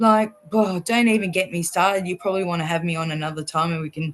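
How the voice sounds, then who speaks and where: Animated in tone, a woman speaks with an Australian accent. Her pitch is medium, with ordinary pitch variation. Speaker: vaccine-injured guest. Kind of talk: interview testimony. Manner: animated, outspoken.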